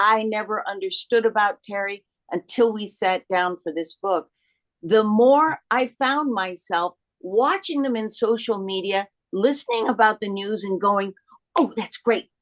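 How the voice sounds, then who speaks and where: A woman speaks at a fairly slow pace with an ordinary speaking voice. Her pitch is fairly high with ordinary variation, and the sound is dry and close with no echo. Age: 60s. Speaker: actress and author. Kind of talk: panel interview.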